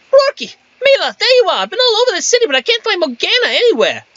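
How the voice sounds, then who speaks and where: This is a put-on character voice pitched extremely high. It races along at a very fast pace. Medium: game stream. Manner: urgent, excitable.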